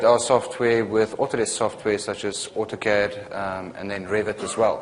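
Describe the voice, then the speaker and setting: With a South African accent, a man talks at a moderate pace over noticeable background noise. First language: not English. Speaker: software technical consultant and trainer. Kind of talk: lecture. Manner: hesitant, many fillers.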